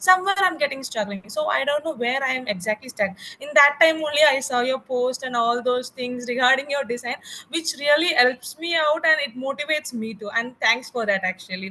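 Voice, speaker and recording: A woman's raised, projected, high voice with an Indian accent and lively intonation over noticeable background noise. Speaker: garment manufacturer. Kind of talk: networking call discussion. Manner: halting.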